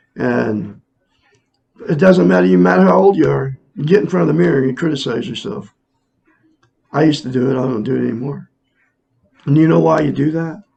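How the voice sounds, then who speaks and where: A man talks at a medium pitch and a fairly quick pace, with very wide pitch swings. Long, frequent pauses break his speech as music plays in the background. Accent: American. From Oregon. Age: 60s. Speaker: self-help teacher. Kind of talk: casual monologue. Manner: halting.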